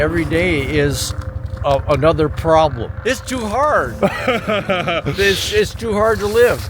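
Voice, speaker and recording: Amid noticeable background noise, a man speaks at a very slow pace with lively intonation. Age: 80s+. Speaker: off-grid gold miner. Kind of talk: interview answer. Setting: outdoors.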